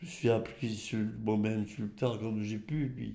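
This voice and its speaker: A man's dark, mellow voice moves at a fairly slow pace with fairly even intonation, and room echo is audible. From rural Champagne, Aube (Côte des Bar), France. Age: 80s+. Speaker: retired winegrower. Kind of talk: oral history interview. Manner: halting, with many repetitions and hesitations.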